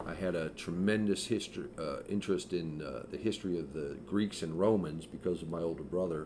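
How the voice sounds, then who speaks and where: Over audible room echo, a man with very deep, low pitch and a dark, mellow tone talks at a fairly quick pace with hardly any pauses and ordinary pitch variation. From California, San Francisco. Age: 60s. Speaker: podcast co-host. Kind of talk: casual chat.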